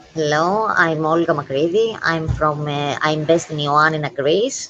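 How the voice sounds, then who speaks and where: Very deep and low, a woman's voice carries ordinary pitch variation. Noticeable background noise sits behind her. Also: moderate pace. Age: 40s. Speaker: panelist. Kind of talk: online panel discussion.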